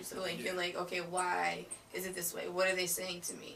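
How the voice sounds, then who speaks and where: Noticeable background noise runs through the clip. A woman with an American accent speaks at a medium pitch. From Boston. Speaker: podcast guest. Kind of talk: casual chat.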